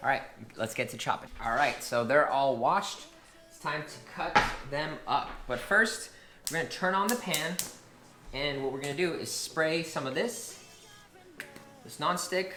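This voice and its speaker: The talk moves at a moderate pace with long, frequent pauses. Noticeable background noise runs underneath. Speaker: fitness vlogger. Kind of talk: casual vlog. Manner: casual, filler-heavy.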